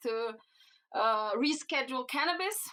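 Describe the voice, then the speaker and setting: A woman with a Slovenian accent, high-pitched and bright, sharp in tone, at a moderate pace. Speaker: cannabinoid researcher. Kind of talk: podcast interview. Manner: halting, many fillers.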